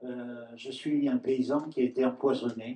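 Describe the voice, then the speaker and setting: With a dark, mellow tone, a man speaks at a medium pitch. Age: 70s. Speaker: farmer. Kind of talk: round-table talk. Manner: halting.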